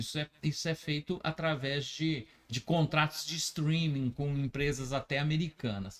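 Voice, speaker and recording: At a fairly slow pace, this man gets his words out. His voice sits fairly high. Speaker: web radio host. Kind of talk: casual interview chat. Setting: radio studio. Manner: halting, with many fillers.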